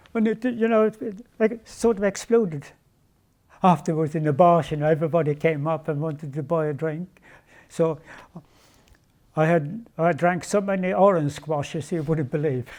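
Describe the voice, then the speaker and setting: Taking long, frequent pauses at a moderate pace, a man with a Swedish accent and fairly high pitch speaks with ordinary pitch variation on a very clean recording with a silent background. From Sweden. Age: 80s+. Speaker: retired speedway world champion. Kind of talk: interview answer.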